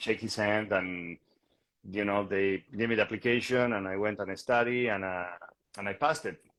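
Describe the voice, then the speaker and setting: A man speaks with a Bolivian accent at a fairly quick pace. His pitch sits fairly low and varies in an ordinary way. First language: Spanish. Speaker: real estate agent. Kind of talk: interview conversation. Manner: hesitant, many fillers and repetitions.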